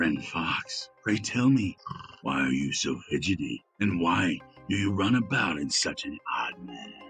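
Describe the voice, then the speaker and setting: A man's put-on character voice, fairly low in pitch and fairly slow, over faint music in the background. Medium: read story. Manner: demanding, gruff.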